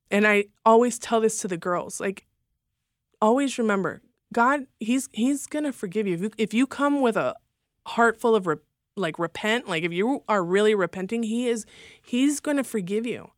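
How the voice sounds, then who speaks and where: A woman with an American accent and a plain, everyday voice speaks at a moderate pace and a fairly high pitch with ordinary pitch variation, the sound dry and close with no echo and the recording very clean against a silent background. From Los Angeles, California. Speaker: former stripper sharing faith testimony. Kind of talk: testimony. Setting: studio.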